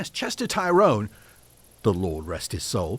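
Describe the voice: In a put-on character voice, a man speaks at a fairly low pitch and fairly slow pace, with very wide pitch swings and a slightly husky edge.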